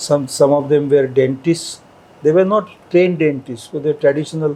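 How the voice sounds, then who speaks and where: With a Marathi accent and ordinary pitch variation, a man speaks over noticeable background noise. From India, Maharashtra. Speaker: scholar and linguist. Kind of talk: interview.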